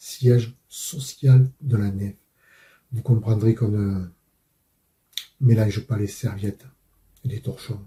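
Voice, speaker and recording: A very slow, somewhat breathy male voice at medium pitch, dark and mellow in tone, with fairly even intonation and long, frequent pauses. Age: 60s. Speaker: father and truck driver. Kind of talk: testimony.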